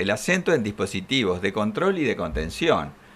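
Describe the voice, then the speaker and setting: The man's fairly low voice moves through very wide pitch swings at a fairly slow pace. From Argentina. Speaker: legal expert; guest. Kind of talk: studio interview. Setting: studio. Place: studio. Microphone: podium.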